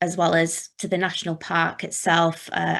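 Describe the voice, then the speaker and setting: The voice carries vocal fry and a monotone, flat intonation. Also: woman. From West Yorkshire (Dewsbury). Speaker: zooarchaeologist. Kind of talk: online talk.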